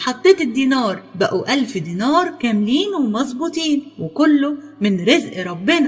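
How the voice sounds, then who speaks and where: Over music in the background, a woman with an Egyptian accent speaks at a high pitch, fairly slowly and with hardly any pauses, her voice swinging very widely in pitch. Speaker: storyteller. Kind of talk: children's folk tale narration.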